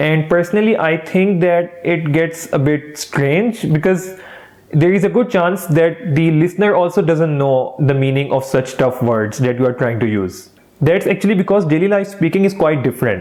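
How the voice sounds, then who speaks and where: Over noticeable background noise, a man with a high pitch speaks at a moderate pace with lively intonation and very even loudness. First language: not English. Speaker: English teaching youtuber. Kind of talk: tutorial. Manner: casual, friendly.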